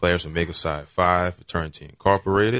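A man with a very deep, low voice and a bright, sharp tone, captured in a very clean recording against a silent background. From New Orleans, Louisiana (Algiers). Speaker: lawyer and city council candidate. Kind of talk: radio interview. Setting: studio.

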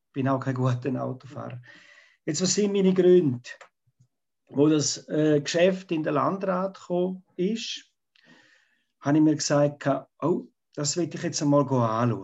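With a fairly high pitch and ordinary pitch variation, a man speaks at a fairly slow pace, leaving long, frequent pauses. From Switzerland, Graubünden. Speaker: local politician, retired teacher. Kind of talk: debate. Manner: halting.

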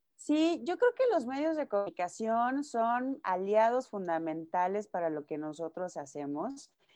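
Against a quiet background, a woman with a fairly high pitch and a dark, mellow tone talks at a fairly slow pace, swinging her pitch very widely. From Mexico, Nayarit. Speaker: music manager and publicist. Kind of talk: interview.

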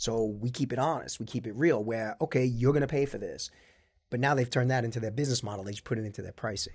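A man with an American accent talks at a very fast pace, medium in pitch, somewhat breathy, and fairly even in intonation, on a very clean recording with a silent background. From Long Island, New York. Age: 50s. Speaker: corporate lawyer and business owner. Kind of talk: casual interview chat.

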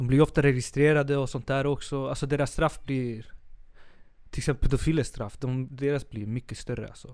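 The man's delivery is monotone and flat at a medium pitch and a fairly quick pace. His loudness swings widely. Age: 20s. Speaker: art teacher student and artist, new podcast co-host. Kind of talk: casual chat. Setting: studio.

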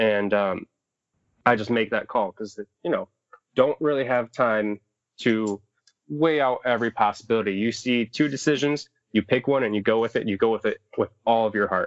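This is a man with a plain, everyday voice and ordinary pitch variation. The sound is dry and close, with no echo. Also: medium pitch for a man, moderate pace. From Southwest Michigan. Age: 20s. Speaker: outdoor educator and raft guide. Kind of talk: casual chat.

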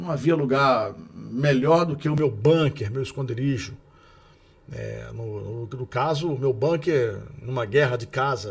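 A man with a medium pitch speaks at a very slow pace, somewhat breathy, with ordinary pitch variation. His loudness swings widely. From Rio de Janeiro. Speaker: radio announcer and podcast host. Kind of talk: narrated book reading with casual asides. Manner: trained announcer delivery.

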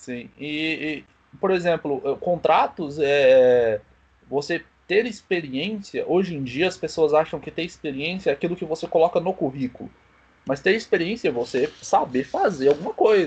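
With an ordinary speaking voice, a man talks at a moderate pace, his pitch fairly high with ordinary variation. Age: 20s. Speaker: small business owner. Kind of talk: casual chat.

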